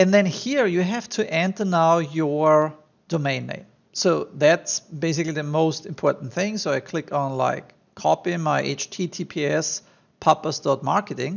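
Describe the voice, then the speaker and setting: With a strong German accent, a man speaks at a fairly high pitch with ordinary pitch variation. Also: moderate pace. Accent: thick German. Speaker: online marketing tutor. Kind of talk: screen-share tutorial. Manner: casual, many fillers.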